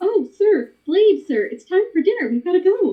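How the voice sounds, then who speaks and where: A woman puts on a character voice, pitched extremely high and delivered at a moderate pace. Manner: timid, deferential.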